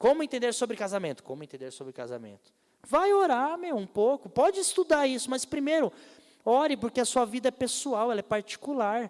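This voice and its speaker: A man's extremely high-pitched voice with lively intonation and big swings in loudness, in a dry, close recording with no echo. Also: fairly quick pace. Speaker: pastor. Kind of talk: sermon. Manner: fast.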